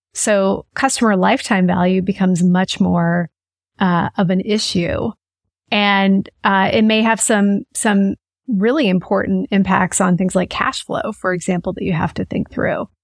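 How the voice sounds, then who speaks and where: In a dry, close recording with no echo, very clean and with a silent background, a woman with an American accent speaks fairly slowly at a medium pitch, her intonation fairly even. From US Midwest (Kansas). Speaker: business consultant and author. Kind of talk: interview.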